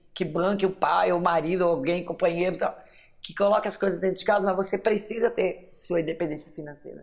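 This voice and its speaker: A woman's ordinary speaking voice, medium in pitch, with fairly even intonation and a fairly quick pace. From São Paulo city, born in Minas Gerais. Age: 50s. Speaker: writer and teacher. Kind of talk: interview testimony.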